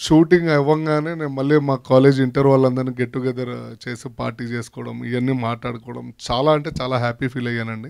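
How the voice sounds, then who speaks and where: A man's voice at medium pitch, with fairly even intonation. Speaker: actor. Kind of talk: speech at a film launch event. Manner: humorous, casual.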